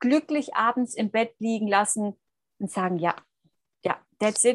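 A woman speaks in a Swabian accent with ordinary pitch variation, the sound dry and close with no echo. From Swabia, southern Germany. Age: 30s. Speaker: coach and mentor for women. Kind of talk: interview.

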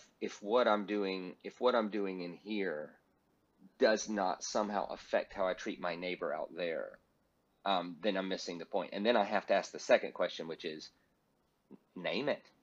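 A man's fairly low-pitched voice at a moderate pace, broken by long, frequent pauses. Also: fairly even intonation. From US South. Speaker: pastor and speaker. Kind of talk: interview.

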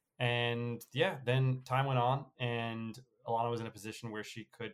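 Using a New York accent, a man talks at a moderate pace with medium pitch and fairly even intonation. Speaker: podcast co-host. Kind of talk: casual chat.

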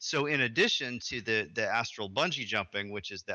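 A man with an American accent speaks at a medium pitch. His tone is bright and sharp against a quiet background. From US South, Arkansas. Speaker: game designer and lecturer. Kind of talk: casual chat.

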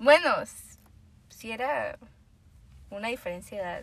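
Over noticeable background noise, a woman uses a raised, projected voice at a moderate pace, her pitch swinging very widely. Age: 20s. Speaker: medical student. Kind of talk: casual chat.

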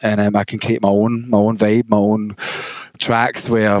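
The speaker has a Glaswegian accent and talks at a moderate pace in a monotone with flat intonation. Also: man. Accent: Glaswegian Scottish. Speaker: DJ and music producer. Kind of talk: casual interview.

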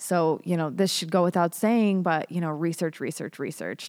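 A woman with an American accent has an unremarkable speaking voice at fairly low pitch and fairly even intonation. The recording is very clean, with a silent background. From US, Colorado. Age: 30s. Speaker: tech industry writer. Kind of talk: podcast interview. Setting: studio.

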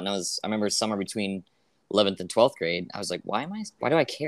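Talking at a very fast pace, a man with a fairly low pitch is heard on a very clean recording with a silent background. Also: dry, close sound with no echo. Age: 30s. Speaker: podcast host, comedian. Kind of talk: casual chat; podcast intro and outro monologue.

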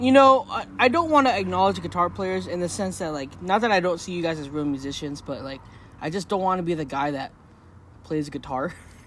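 With a relaxed tone, a man speaks at a fairly quick pace. His pitch is high. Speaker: podcast co-host and guest. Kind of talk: casual interview chat. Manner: relaxed, jokey.

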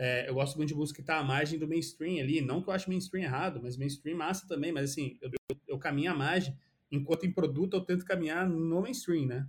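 Talking at a fairly quick pace, a man uses a normal speaking voice with a fairly high pitch and ordinary pitch variation. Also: hardly any pauses. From Brazil, São Paulo state interior (São José dos Campos). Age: 30s. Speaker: product designer. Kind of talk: casual interview chat.

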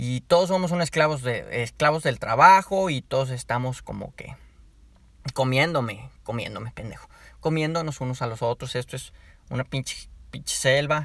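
Animated, with big swings in loudness, a man speaks in a Mexican accent. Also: medium pitch for a man, ordinary pitch variation, moderate pace. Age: 20s. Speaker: podcaster. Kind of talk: casual monologue.

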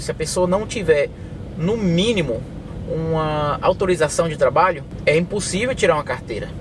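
There is noticeable noise in the background. A man talks at a medium speed. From Brazil, Bahia (Teixeira de Freitas), moved to US at 11. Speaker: truck driver. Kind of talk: interview.

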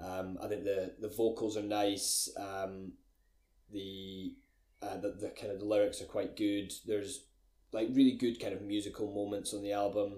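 A man with a Scottish accent speaks at a moderate pace in a fairly low voice with a dark, mellow tone. His delivery is flat and monotone. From Scotland, Glencoe. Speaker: music podcast co-host. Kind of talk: casual chat.

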